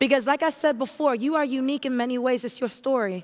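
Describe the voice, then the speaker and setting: In an animated tone, a woman talks at a fairly quick pace with a high pitch. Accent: American. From Haiti and New York. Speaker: entrepreneur, keynote speaker. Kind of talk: keynote speech.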